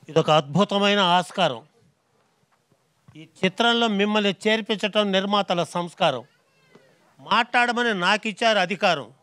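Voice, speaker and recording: Projecting his raised voice, a man sounds bright and sharp at a high pitch with ordinary pitch variation. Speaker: rhyming comedy speaker. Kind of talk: rhyming speech at a film event. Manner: humorous, rhythmic.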